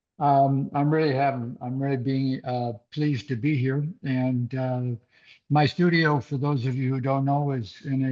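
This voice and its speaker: A man speaks at a medium pitch and a fairly slow pace, in a monotone, flat way. The background is quiet. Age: 80s+. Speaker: artist. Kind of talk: artist talk. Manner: halting, many fillers.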